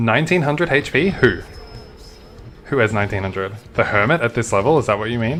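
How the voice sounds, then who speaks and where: A man with a strong Australian accent at a very fast pace, animated tone and lively intonation, long, frequent pauses, music in the background. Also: medium pitch for a man. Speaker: video game streamer. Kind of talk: live gameplay commentary. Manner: casual, animated.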